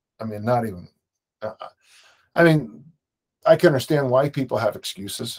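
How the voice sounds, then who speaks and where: A medium-pitched man at a fairly quick pace, with lively intonation, big swings in loudness and long, frequent pauses. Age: 60s. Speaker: strength coach and author. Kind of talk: casual interview conversation.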